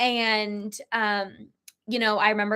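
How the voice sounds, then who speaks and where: Loud and monotone, a woman speaks in a fairly high pitch with a bright, sharp tone and flat intonation. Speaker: podcast co-host, business coach. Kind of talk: casual podcast conversation.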